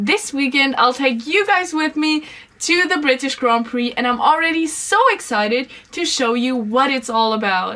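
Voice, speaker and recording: A woman uses a raised, projected voice with a high pitch. She talks at a moderate pace with lively intonation. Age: 20s; young. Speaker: vlogger. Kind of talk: vlog.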